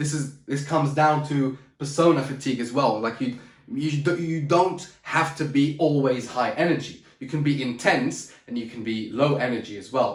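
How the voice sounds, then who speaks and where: Amid audible room echo, a man speaks in an animated tone at a fairly high pitch and a moderate pace, with ordinary pitch variation and hardly any pauses. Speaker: public speaking coach. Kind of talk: motivational talk to camera. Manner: loud, shouting; high energy, animated.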